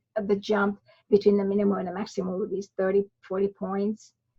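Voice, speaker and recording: A woman's somewhat breathy voice at medium pitch and a moderate pace. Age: 60s. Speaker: migraine and electrolyte researcher, author. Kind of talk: podcast interview. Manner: halting, frequent false starts.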